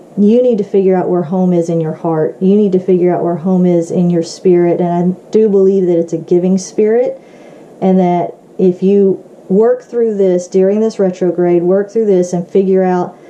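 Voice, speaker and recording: Amid noticeable background noise, a woman speaks at a moderate pace with a medium pitch and monotone, flat intonation. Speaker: tarot card reader. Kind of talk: tarot reading to camera. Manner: halting, with many fillers.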